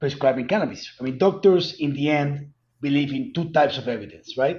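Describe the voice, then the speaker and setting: A man speaks with a strong Colombian accent and lively intonation. His voice is fairly high-pitched and somewhat breathy. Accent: heavy Colombian Spanish. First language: Spanish. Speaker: cannabis company executive. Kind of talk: interview.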